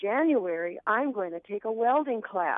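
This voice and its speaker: At a fairly slow pace, a woman talks. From Duluth, Minnesota. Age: 60s. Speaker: radio interview guest, artist and shop owner.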